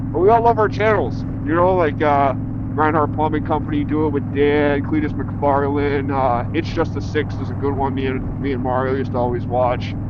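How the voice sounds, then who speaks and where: A relaxed, fairly high male voice with an American accent and ordinary pitch variation, with audible room echo and noticeable background noise. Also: moderate pace. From Massachusetts, Spencer. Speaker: motorcycle vlogger. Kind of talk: casual vlog monologue while riding. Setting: riding a motorcycle, helmet cam. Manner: relaxed, halting with fillers.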